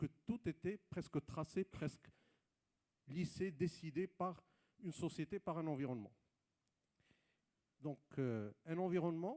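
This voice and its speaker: A man's fairly high-pitched voice in a dark, mellow tone. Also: dry, close sound with no echo. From Morocco, Rabat. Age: 30s. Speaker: entrepreneur. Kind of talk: panel talk. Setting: stage with audience. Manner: hesitant.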